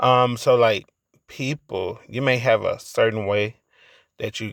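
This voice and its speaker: A man speaks quietly at a fairly slow pace, with a dry, close sound, no echo, and a very clean recording with a silent background. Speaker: YouTuber. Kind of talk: late-night monologue. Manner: halting.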